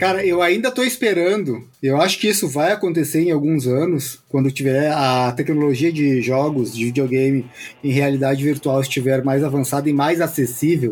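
A man talks in a normal speaking voice at a fairly high pitch and a moderate pace, with ordinary pitch variation, very even loudness and hardly any pauses. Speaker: podcast host. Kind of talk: casual chat.

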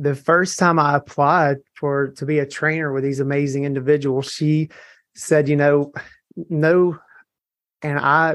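A fairly high-pitched man in a Southern US accent talks at a fairly slow pace, flat and monotone. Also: quiet background. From US South, Mississippi. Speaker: hair color trainer. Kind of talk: testimony. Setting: live audience at event.

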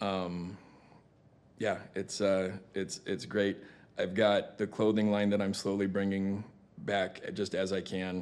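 Against a quiet background, a man with a fairly low pitch talks at a very slow pace. His intonation is monotone and flat, with long, frequent pauses. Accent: American. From Arizona, Tucson. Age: 40s. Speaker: recovering addict, former car sales manager. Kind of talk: interview.

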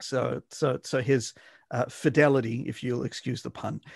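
With vocal fry, a man speaks over a quiet background, the sound dry and close with no echo. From Western Australia, Perth; born South Africa, Johannesburg. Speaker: literature academic. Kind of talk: casual interview chat.

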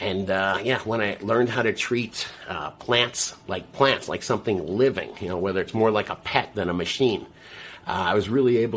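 With an American accent, a man speaks in a normal speaking voice at a moderate pace, his pitch fairly low and its variation ordinary. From US South, South Florida. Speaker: grower and gardening show host. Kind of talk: casual interview.

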